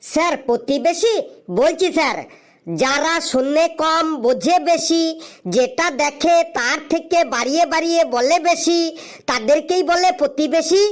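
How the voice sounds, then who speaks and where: A cartoonish character voice, pitched high. It moves at a very slow pace. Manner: cheerful, glib.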